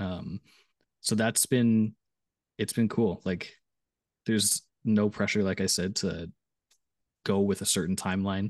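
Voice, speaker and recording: Fairly low in pitch, a man speaks at a fairly slow pace with fairly even intonation and long, frequent pauses. The sound is dry and close with no echo, over a quiet background. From Canada. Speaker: musician. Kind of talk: casual chat.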